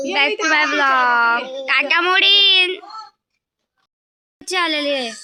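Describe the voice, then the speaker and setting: In a room with audible echo, a woman raises and projects her high voice. Her tone is bright and sharp, and her intonation is lively. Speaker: vlogger. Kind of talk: casual vlog chat.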